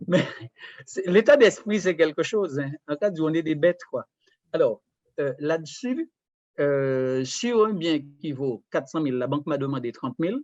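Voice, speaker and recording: The speech comes at a fairly slow pace, with lively intonation and long, frequent pauses. The sound is dry and close with no echo. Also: man, fairly high pitch for a man. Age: 60s. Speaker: retired property investor. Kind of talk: casual chat. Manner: halting.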